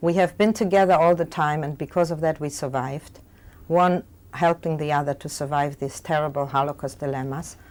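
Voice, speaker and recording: A woman's very deep, low voice with a German accent, a fairly quick pace and fairly even intonation, on a very clean recording with a silent background. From Germany. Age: 60s. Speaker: Holocaust survivor. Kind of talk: testimony. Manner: fast.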